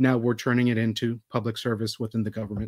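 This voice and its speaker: In a very clean recording with a silent background, a man with an American accent speaks at a medium pitch in a monotone, flat intonation. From Texas. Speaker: political candidate; physician and Army veteran. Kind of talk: campaign forum opening statement.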